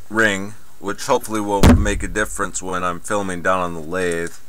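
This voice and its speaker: A man's fairly low voice at a moderate pace, with ordinary pitch variation, a dry sound with no echo, and noticeable background noise. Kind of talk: casual rambling tool show-and-tell. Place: workshop.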